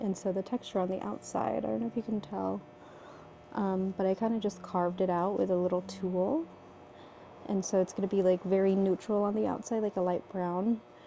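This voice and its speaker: Fairly quick whispering is heard. The whisperer is a woman. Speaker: potter and vlogger. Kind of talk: casual vlog talk to camera. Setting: pottery studio at night.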